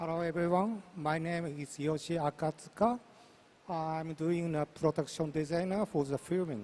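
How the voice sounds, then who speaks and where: Normal pitch movement accompanies speech delivered at a moderate speed. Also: man, fairly high pitch for a man. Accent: Japanese. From Japan. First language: Japanese. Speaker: film production designer. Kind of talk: panel introduction.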